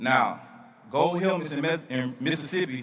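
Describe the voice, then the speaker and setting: A man with a Southern US accent, ordinary pitch variation, and noticeable background noise. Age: 30s. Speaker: speaker at charity event. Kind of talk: storytelling speech.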